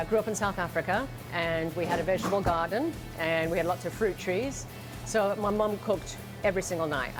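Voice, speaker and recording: There is music in the background. A woman speaks at a fairly quick pace. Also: medium pitch for a woman, ordinary pitch variation. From South Africa.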